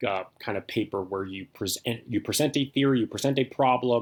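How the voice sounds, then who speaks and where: A man talks at a fairly quick pace with ordinary pitch variation, in a very clean recording with a silent background. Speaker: philosophy instructor. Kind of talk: course introduction lecture. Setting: recorded video lecture. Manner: fast; casual, filler-heavy.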